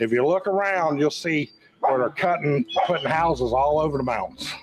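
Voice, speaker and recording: Through noticeable background noise, a man with a Southern Appalachian accent speaks in a fairly high pitch with lively intonation. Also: moderate pace. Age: 60s. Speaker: local resident. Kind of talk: casual chat.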